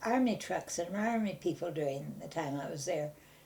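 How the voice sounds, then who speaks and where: A woman talks with an American accent and ordinary pitch variation. Her voice is somewhat breathy, with a dark, mellow tone. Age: 80s+. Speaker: elderly local resident interviewed about town history. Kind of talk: oral history interview. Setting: at home. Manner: halting, many hesitations.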